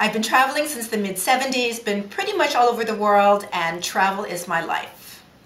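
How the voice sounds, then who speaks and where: A woman at a fairly high pitch with ordinary pitch variation, a moderate pace and hardly any pauses, over noticeable background noise. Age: 60s. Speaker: travel agent. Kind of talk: casual chat.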